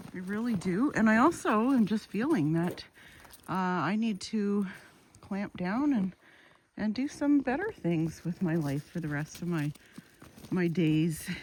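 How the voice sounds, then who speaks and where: With a Canadian accent, a woman at medium pitch speaks somewhat breathily at a fairly slow pace, her intonation lively and broken by long, frequent pauses. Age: 60s. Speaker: YouTuber. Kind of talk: casual vlog monologue. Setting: outdoors on a walk with dogs.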